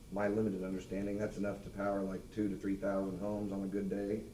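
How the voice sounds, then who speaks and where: A man talks at a fairly quick pace. Noticeable background noise and audible room echo are present. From Missouri, Lafayette County. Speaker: member of the public. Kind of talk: public comment at meeting. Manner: loud.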